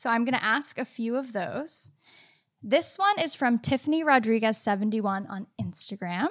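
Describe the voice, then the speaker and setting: A woman speaks with an ordinary speaking voice. Her pitch is fairly high and her intonation lively. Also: moderate pace. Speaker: podcast co-host, amateur baker. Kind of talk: live-streamed podcast chat. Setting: live video stream.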